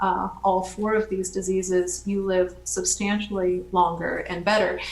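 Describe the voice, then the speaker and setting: With noticeable background noise and audible room echo, a woman speaks at medium pitch and moderate pace in a monotone with flat intonation. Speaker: biotech company founder presenting. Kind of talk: lecture. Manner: halting.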